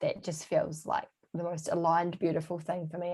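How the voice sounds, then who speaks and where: Monotone, flat delivery in a New Zealand accent. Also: woman. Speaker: holistic health coach. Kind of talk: casual interview chat.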